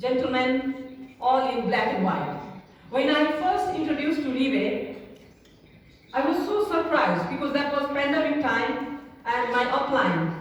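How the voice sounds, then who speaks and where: Amid noticeable background noise and audible room echo, a woman with a Nepali accent speaks at a high pitch and a fairly slow pace, with lively intonation and long, frequent pauses. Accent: Nepali accent, non-native English. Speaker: network marketing leader. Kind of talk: seminar talk. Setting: stage with audience. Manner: halting.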